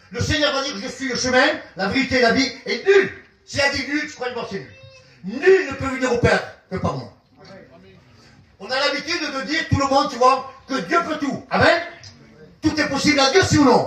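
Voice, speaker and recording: A man with an extremely high pitch speaks in a raised, projected voice at a moderate pace, with big swings in loudness and long, frequent pauses. Room echo is audible, and there is noticeable background noise. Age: 70s. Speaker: visiting pastor. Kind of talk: sermon. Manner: animated.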